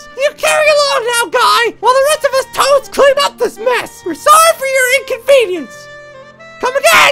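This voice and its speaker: Over faint music in the background, a woman does a put-on character voice that is shrill, with an extremely high pitch. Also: moderate pace. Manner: cheerfully apologetic, like a service worker.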